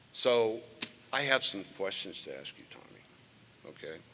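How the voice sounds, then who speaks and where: A man's fairly low voice with lively intonation and audible room echo. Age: 70s. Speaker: former state tennis champion presenting an award. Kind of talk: award ceremony speech with banter. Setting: stage with audience. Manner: animated.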